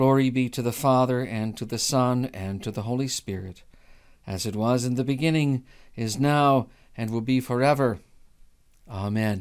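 Against a quiet background, a man speaks in a solemn tone at a moderate pace, with ordinary pitch variation and long, frequent pauses. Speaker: prayer leader. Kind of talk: fervent prayer. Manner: earnest, pleading, solemn. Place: home room. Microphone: studio mic.

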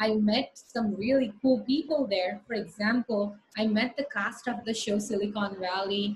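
A woman talks at a very slow pace in a fairly high, somewhat breathy voice. Her intonation stays fairly even. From India. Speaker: startup founder. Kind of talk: presentation with slides, lecture-style talk. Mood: upbeat, storytelling. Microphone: video call.

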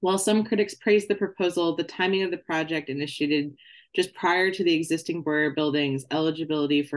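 The background is quiet. The speaker moves at a fairly quick pace. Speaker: candidate. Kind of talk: lecture. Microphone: video call.

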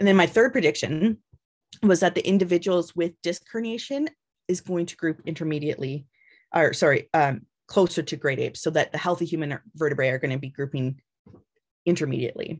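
A woman's lively intonation at a fairly quick pace over a quiet background. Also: fairly low pitch for a woman. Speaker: biological anthropologist, professor; guest lecturer. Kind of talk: lecture. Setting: video call. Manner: fast talker. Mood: calm, explanatory. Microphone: video call.

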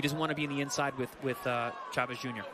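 A man's fairly high voice moves at a fairly quick pace while noticeable background noise carries on. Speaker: boxing analyst. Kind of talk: live boxing commentary. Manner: confident, instructive analyst tone, rattling off tips.

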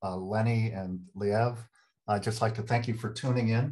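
Somewhat breathy, a man with an American accent speaks at a moderate pace in a monotone, flat intonation. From United States. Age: 60s. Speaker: retired professor. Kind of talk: interview conversation. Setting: video call. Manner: halting. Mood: candid, personal. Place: home room. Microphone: video call.

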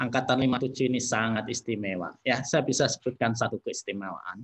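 Ordinary pitch variation at a fairly slow pace. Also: man. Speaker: professor and university director. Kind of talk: online presentation. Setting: video call. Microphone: video call.

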